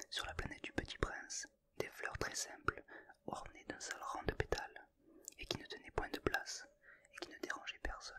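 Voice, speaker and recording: A voice whispers in a soothing tone. Noticeable background noise is present. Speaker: ASMR creator. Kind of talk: audiobook reading. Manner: slow, soothing.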